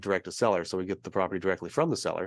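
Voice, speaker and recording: Recorded dry and close with no echo over a quiet background, the speaker has an American accent. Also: man. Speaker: real estate investor. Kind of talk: interview. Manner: fast.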